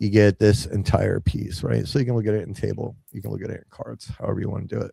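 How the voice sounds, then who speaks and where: Vocal fry runs through a dark, mellow tone. The pace is fairly quick, with ordinary pitch variation. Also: man. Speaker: software creator presenting tools. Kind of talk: live product demo. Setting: live stream. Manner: halting with many fillers.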